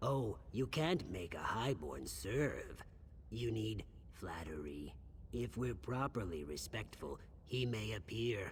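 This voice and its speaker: Clear background noise accompanies a man doing a put-on character voice at a fairly slow pace. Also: fairly low pitch for a man. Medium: video game. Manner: nervous, hesitant.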